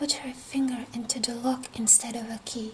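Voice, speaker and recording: Whispering in a gentle tone at a fairly slow pace, a woman is heard over noticeable background noise. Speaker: storyteller. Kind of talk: bedtime fairy tale reading. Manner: whispered, gentle.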